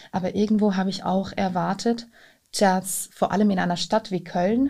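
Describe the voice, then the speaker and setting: In a very clean recording with a silent background, a woman speaks at a fairly slow pace with a medium pitch, fairly even intonation, a dark, mellow tone and a somewhat breathy quality. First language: not German (speaking German). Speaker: immigrant interviewee. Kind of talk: interview.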